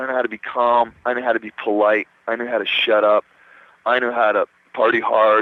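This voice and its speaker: A man speaks at a medium pitch. His delivery moves at a fairly quick pace. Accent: New Jersey. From New Jersey. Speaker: rock guitarist. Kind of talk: radio interview. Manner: animated.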